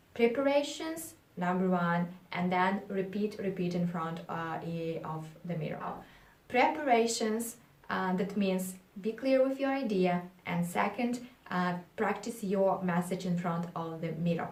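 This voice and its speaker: A woman speaks at a medium pitch and a fairly slow pace. Her pitch varies in an ordinary way, and the room echo is audible. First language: not English. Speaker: public speaking coach. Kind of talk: tutorial. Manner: halting.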